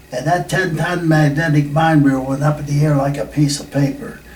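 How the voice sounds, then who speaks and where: The speech moves at a moderate pace with fairly even intonation. Noticeable background noise and audible room echo fill the recording. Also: man. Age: 80s+. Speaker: war veteran. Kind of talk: oral history interview. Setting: reunion. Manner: halting.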